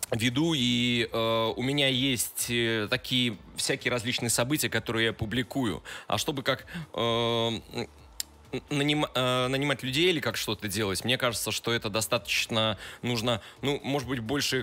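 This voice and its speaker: Loudness stays very even as a man speaks at a moderate pace. His tone is bright and sharp, his intonation fairly even. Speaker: guest. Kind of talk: interview answer. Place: studio. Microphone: studio mic.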